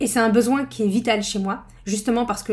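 A woman speaks at a fairly quick pace in a somewhat breathy voice. Her intonation is fairly even. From northern France. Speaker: podcast host and study-skills trainer. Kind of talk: personal storytelling monologue. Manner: casual, conversational.

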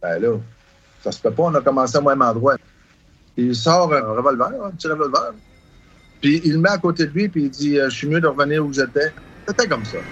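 Ordinary pitch variation at a fairly quick pace, broken by long, frequent pauses. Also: man, fairly high pitch for a man. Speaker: travelling carnival owner. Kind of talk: interview recollections.

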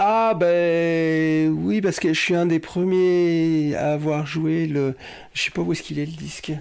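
A man with a fairly high pitch speaks at a very slow pace with fairly even intonation. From western France (Cholet). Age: 40s. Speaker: hip-hop DJ and record collector. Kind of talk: casual interview chat. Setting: at home.

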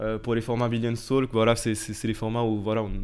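The man talks at a moderate pace. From Portugal, moved to France as a teen. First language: Portuguese (speaking French). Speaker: entrepreneur, media company CEO. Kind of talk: casual interview chat.

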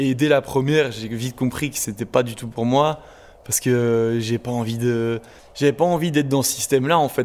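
A man at a fairly slow pace, his intonation fairly even. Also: medium pitch for a man. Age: 20s. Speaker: carpenter. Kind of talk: interview. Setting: workshop. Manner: hesitant, repeats words.

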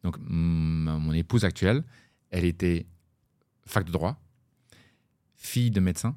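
A man speaks with a very deep, low pitch and a dark, mellow tone. His pitch variation is ordinary. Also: very clean recording, silent background. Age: 40s. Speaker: blockchain startup co-founder, former plumber. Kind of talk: interview. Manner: halting, many repetitions.

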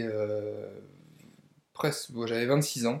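A man at a medium pitch, speaking at a very slow pace. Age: 30s. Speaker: entrepreneur and property investor. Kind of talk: casual interview. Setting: at the host's home.

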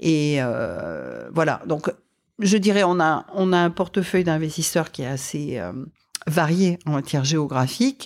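A woman with a very deep, low pitch talks at a very slow pace, with ordinary pitch variation. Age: 50s. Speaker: company executive. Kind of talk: interview. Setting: in person.

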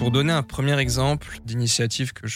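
In an unremarkable speaking voice, a man talks at a medium pitch with ordinary pitch variation, recorded very cleanly against a silent background with a dry, close sound and no echo. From France, Brie east of Paris. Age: 20s. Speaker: investment officer for ecological transition projects. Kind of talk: podcast monologue.

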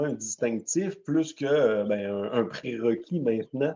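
A man speaks with lively intonation and a slight Québécois accent. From Quebec. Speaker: podcast host, company president. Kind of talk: casual chat. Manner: halting, many fillers.

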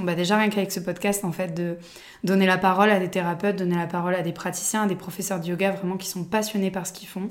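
A woman talks quickly enough, her medium-pitched voice held in a monotone, flat intonation. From Provence, southern France. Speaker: podcast host, yoga teacher. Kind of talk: personal storytelling monologue. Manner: hesitant, many fillers.

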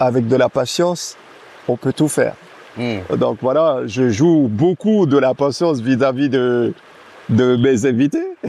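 Over noticeable background noise, a man speaks very slowly at a medium pitch with ordinary pitch variation. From French Guiana, Camopi. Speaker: athlete and entrepreneur. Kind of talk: casual chat.

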